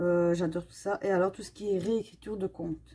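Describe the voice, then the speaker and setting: A woman's medium-pitched, dark, mellow voice with a Belgian accent. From Belgium. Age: 30s. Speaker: coloring YouTuber. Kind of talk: casual Q&A while coloring. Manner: hesitant, many fillers.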